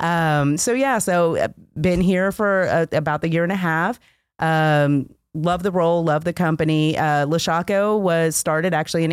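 A woman's plain, everyday voice, fairly low in pitch, at a moderate pace with very even loudness and ordinary pitch variation. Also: very clean recording, silent background. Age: 40s. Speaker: logistics account manager. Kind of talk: interview.

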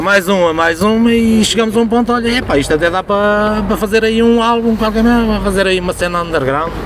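Noticeable noise sits behind a man who speaks fairly quickly in a high-pitched voice. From Portugal, rural Viseu district. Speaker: metal musician. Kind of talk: casual chat.

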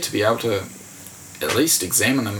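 A man talks with a New Zealand accent and ordinary pitch variation. Noticeable background noise can be heard. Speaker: journalist. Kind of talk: casual interview.

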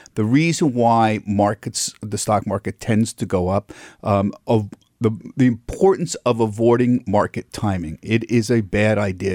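With an American accent, a man uses an ordinary speaking voice at a fairly low pitch with ordinary pitch variation, recorded very cleanly against a silent background in a dry, close sound with no echo. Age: 60s. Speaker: financial TV correspondent. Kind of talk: radio interview. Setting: studio.

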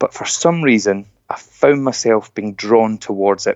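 Speaking with a Scottish accent, a man keeps a moderate pace. His medium pitch shows ordinary variation. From Scotland. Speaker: motivational speaker. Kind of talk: inspirational talk.

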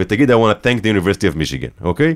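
An animated male voice with very wide pitch swings, in a very clean recording with a silent background. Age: 30s. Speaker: documentary filmmaker and journalist. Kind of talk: interview conversation.

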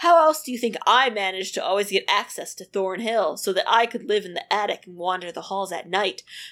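The pitch shows ordinary variation. It is plain reading aloud.

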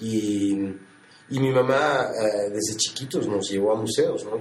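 Noticeable background noise and audible room echo accompany the man who is talking. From Mexico City. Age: 40s. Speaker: photographer. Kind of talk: interview. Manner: halting.

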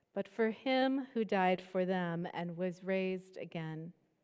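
The woman has an ordinary speaking voice and talks at a fairly slow pace. Her pitch variation is ordinary. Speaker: pastor introducing the guest. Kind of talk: scripture reading and introduction.

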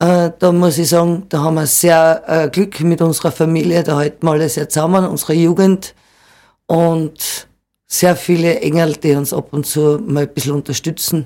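On a very clean recording with a silent background, a dark, mellow tone comes through at a moderate pace with fairly even intonation. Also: woman, fairly low pitch for a woman. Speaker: cider farmer. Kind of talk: interview. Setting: studio.

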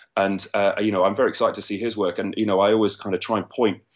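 In a London accent, a man talks very fast in a fairly low, monotone voice. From London, England. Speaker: screenwriter. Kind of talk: interview. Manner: halting, many repeated words.

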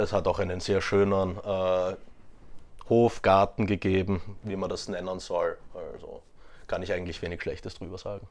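The man speaks at a moderate pace. He leaves long, frequent pauses. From Austria, Graz (Styria). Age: 20s. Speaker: interview guest. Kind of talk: casual interview. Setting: in person.

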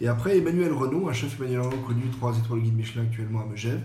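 A man at medium pitch is heard with audible room echo and noticeable background noise. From French Riviera. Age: 40s. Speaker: chef. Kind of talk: podcast interview.

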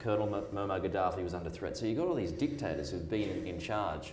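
With a very deep, low pitch, a man talks at a fairly quick pace amid noticeable background noise and audible room echo. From New Zealand. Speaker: foreign correspondent. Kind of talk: public talk. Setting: stage with audience.

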